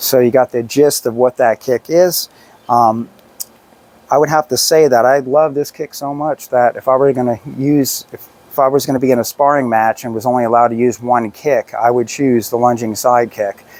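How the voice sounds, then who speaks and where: A man talks at a moderate pace in a plain, everyday voice of medium pitch. The sound is dry and close, with no echo. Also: fairly even intonation. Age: 60s. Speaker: personal trainer. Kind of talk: tutorial. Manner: casual.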